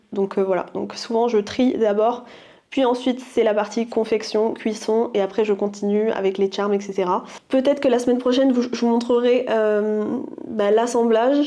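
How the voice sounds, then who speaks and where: At a fairly slow pace, a woman speaks in an ordinary speaking voice. Her pitch is fairly high and her intonation fairly even. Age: 20s. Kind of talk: casual vlog talk to camera.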